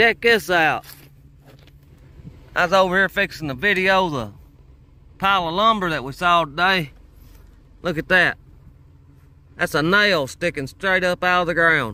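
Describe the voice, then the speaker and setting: Speaking at a moderate pace with long, frequent pauses, a man has a high pitch, a bright, sharp tone and ordinary pitch variation, in a dry sound with no echo. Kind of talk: casual vlog chat. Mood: relaxed, admiring. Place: workshop. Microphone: phone near.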